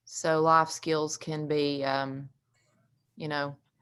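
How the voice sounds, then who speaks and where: Someone with a Southern accent speaks at a fairly slow pace, with fairly even intonation. The recording is very clean and the background silent. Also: woman. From US South, East Tennessee (Carter County). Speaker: recovery housing co-founder. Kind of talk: presentation at community meeting.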